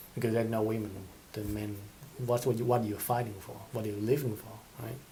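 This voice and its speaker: A man's medium-pitched voice, dark and mellow in tone, somewhat breathy. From Asia. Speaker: podcast host. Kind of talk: casual monologue.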